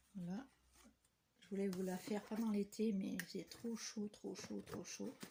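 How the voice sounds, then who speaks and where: Soft-spoken and somewhat breathy, a woman talks very slowly in a dark, mellow tone with fairly even intonation and big swings in loudness. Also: medium pitch for a woman. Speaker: papercraft vlogger. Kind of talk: casual vlog chat. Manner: hesitant with fillers. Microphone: no microphone, too quiet.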